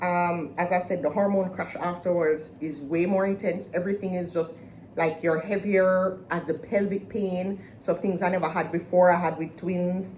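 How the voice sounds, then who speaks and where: Over noticeable background noise, a woman speaks at a moderate pace with hardly any pauses. Her fairly low voice stays monotone, with flat intonation. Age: 40s. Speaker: vlogger / podcast host. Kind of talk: casual personal vlog talk. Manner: halting, many fillers.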